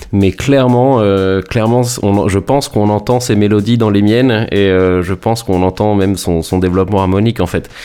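This man's pitch is fairly low, and his intonation stays fairly even. He talks at a moderate pace with very even loudness and hardly any pauses. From France, Rouen (Normandy). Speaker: electronic music producer. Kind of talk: interview. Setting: internet call from home. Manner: halting, many repetitions and fillers.

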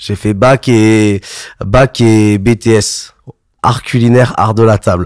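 A man speaks at a very slow pace in a medium pitch with monotone, flat intonation. The sound is dry and close with no echo. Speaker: DJ. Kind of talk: casual chat. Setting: home studio.

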